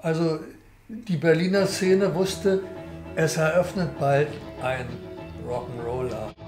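A man at a fairly high pitch and very slow pace with lively intonation, over clear music in the background. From Berlin. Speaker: documentary interviewee. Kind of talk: interview answer. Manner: casual, chatty. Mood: relaxed, anecdotal storytelling. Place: home room.

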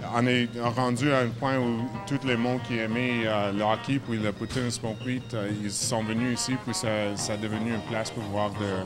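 Music plays clearly behind the voice. The man talking keeps a moderate pace. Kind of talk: interview answer. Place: cafe. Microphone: handheld.

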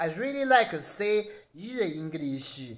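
Very slow speech in a Sichuan accent, over a quiet background. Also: man. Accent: Sichuan Mandarin-accented English. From Chengdu, Sichuan, China. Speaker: security guard and YouTuber. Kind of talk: casual video blog. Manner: halting, simple English with pauses. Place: home room. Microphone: phone near.

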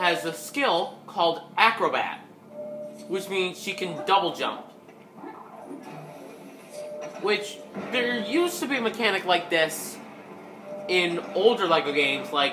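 The speech comes at a fairly slow pace with long, frequent pauses, and faint music plays in the background. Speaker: gamer. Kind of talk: gameplay commentary. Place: home room. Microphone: phone near.

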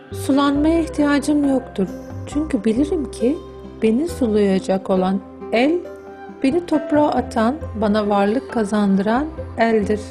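Music plays behind a woman speaking at a fairly slow pace and a fairly high pitch. Her pitch swings very widely while her loudness stays very even. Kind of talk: literary reading, audiobook-style narration of a book excerpt.

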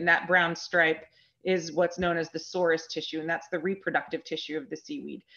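A woman's fairly low-pitched, fairly quick delivery in an ordinary speaking voice. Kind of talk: lecture. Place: home room. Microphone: video call.

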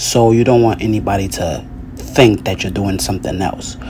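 Light background noise behind a man's speech. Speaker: fitness vlogger. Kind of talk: tutorial. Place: bathroom. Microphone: phone near.

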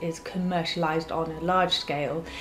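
A woman at a moderate pace, with music in the background. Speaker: creator explaining AI art. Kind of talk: casual explainer talk to camera. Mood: calm, informative. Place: home room.

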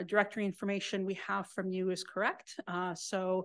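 At a moderate pace, a woman is talking. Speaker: presenter. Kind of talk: conference presentation. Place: hall.

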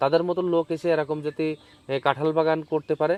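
A man with an ordinary speaking voice talks at a fairly high pitch. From Bangladesh, Chuadanga district. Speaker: farmer. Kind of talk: interview. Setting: outdoors.

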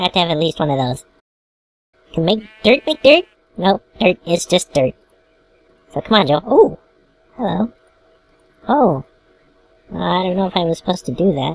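A put-on character voice at a middle pitch and a moderate pace. Long, frequent pauses break up the speech. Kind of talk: comedic let's play commentary. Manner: cartoonish.

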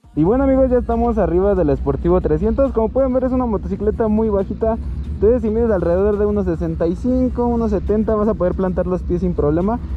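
A man with a Mexican accent talks at a fairly quick pace with hardly any pauses and very even loudness. Faint music plays in the background, and the sound is dry with no echo. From Mexico. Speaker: motorcycle YouTuber; motorcycle reviewer. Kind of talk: product review. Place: motorbike.

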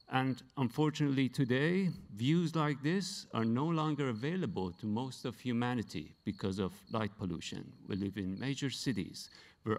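With a Persian accent, a man speaks at a moderate pace and medium pitch, his voice making very wide pitch swings. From Iran, Tehran. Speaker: science photojournalist; presenter. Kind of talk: award acceptance speech. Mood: earnest, reflective. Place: hall. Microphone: handheld.

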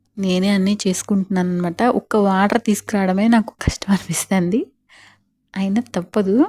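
This woman's voice has a dark, mellow tone, somewhat breathy, with flat, monotone intonation and very even loudness. The sound is dry and close with no echo, on a very clean recording against a silent background. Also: medium pitch for a woman. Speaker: homemaker vlogger. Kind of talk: vlog voiceover narration.

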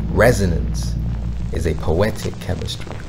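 Speech unfolds very slowly, with noticeable background noise behind it. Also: man. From United Kingdom. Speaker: poet, spoken word artist. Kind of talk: spoken word poetry for a brand film.

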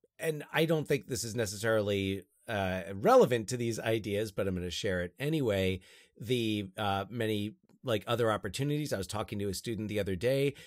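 In a very clean recording with a silent background, a man with an unremarkable speaking voice talks at a fairly quick pace and fairly low pitch, with ordinary pitch variation. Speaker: podcast host and high school teacher. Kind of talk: casual comedic chat.

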